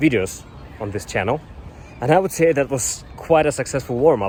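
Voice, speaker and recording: A man with a Russian accent, noticeable background noise behind him. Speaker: YouTuber, software developer career advisor. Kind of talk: vlog-style talk to camera. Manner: some hesitations and fillers.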